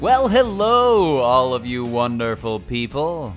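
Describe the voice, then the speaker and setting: A man uses a put-on character voice at medium pitch. He talks at a fairly slow pace over clear background music. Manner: warm, polished, welcoming.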